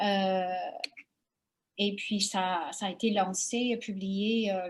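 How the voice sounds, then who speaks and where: A woman speaks with an English accent at a medium pitch. Her voice is somewhat breathy. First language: English (speaking French). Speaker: investigative journalist and author. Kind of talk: interview. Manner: halting, many hesitations.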